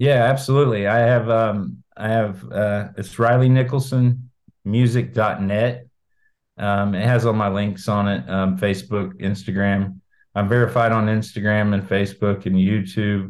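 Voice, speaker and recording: With an American accent and a normal speaking voice, a man talks at a fairly slow pace with fairly low pitch and ordinary pitch variation. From Indiana, Brown County. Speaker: singer-songwriter. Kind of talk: interview.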